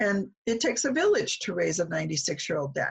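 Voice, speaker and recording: Vocal fry is heard in this voice. It carries an American accent. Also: woman. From US Midwest. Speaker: speech-language pathology professor. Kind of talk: interview.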